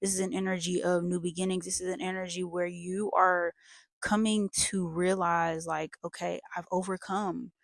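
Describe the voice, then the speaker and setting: In a very clean recording with a silent background and a dry, close sound with no echo, a woman speaks at a moderate pace and medium pitch with monotone, flat intonation. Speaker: tarot reader. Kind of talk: tarot reading. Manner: halting; casual.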